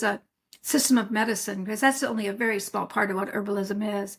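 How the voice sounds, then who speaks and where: The voice sounds somewhat breathy. The recording is very clean, with a silent background. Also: woman. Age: 70s. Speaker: herbalist. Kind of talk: interview. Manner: conversational.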